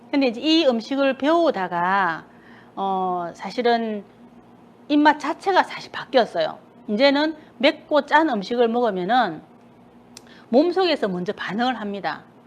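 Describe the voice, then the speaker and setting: A woman with a Busan accent, high-pitched, with very wide pitch swings and long, frequent pauses. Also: fairly slow pace. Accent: Gyeongsang (Busan) dialect. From South Korea, Busan. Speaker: cooking instructor. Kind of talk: cooking class talk. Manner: casual chatty.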